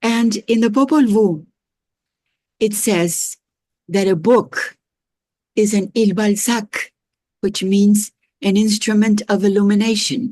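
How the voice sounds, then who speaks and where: Very slowly and with long, frequent pauses, a woman speaks in a fairly high, somewhat breathy voice, the sound dry and close with no echo. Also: fairly even intonation. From northern Mexico. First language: Spanish. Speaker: professor. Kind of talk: lecture. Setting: video call. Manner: halting.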